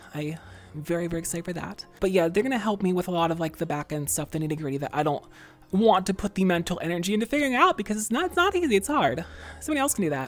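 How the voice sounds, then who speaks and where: With music in the background, a woman speaks very fast, her voice making very wide pitch swings. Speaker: virtual streamer, ASMR creator. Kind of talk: casual talk to camera, livestream Q&A.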